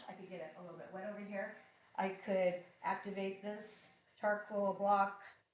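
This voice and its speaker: A woman speaks at a fairly high pitch. Audible room echo is present. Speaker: artist. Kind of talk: live art demonstration. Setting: live stream. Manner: casual, chatty.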